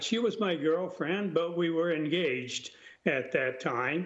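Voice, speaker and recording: With an American accent, a high-pitched man speaks fairly slowly with ordinary pitch variation amid audible room echo. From United States. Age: 90s. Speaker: war veteran. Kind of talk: interview.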